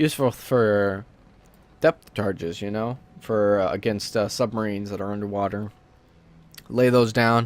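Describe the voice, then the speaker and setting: At a moderate pace, a man speaks in a fairly low pitch with fairly even intonation. Long, frequent pauses break up his speech. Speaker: gaming let's play creator. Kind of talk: casual gameplay commentary. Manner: hesitant, many fillers.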